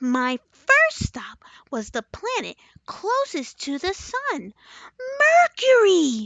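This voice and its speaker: An extremely high put-on character voice moves through very wide pitch swings at a very slow pace. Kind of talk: children's bedtime story. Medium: read story. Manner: cheerful, earnest.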